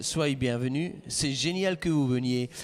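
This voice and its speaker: Speaking very slowly, a man talks with a slight Swiss French accent. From Switzerland. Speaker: pastor. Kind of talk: interview.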